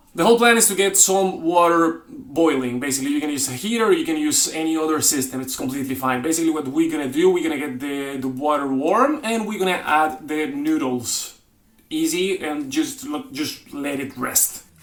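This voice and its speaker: Fairly high in pitch, a man talks at a fairly quick pace with hardly any pauses and lively intonation, over noticeable background noise. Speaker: cooking channel host. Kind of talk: cooking tutorial. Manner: halting.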